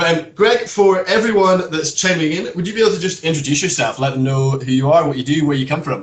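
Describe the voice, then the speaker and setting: A man in a Scottish accent, fairly high in pitch, at a very fast pace with hardly any pauses. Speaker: brand ambassador. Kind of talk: casual chat. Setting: live video stream.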